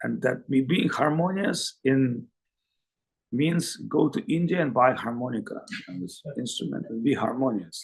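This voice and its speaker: A man of medium pitch speaks with a non-native accent at a moderate pace. His voice is somewhat breathy, with lively intonation and big swings in loudness. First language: Russian. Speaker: spiritual teacher. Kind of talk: lecture. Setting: video call.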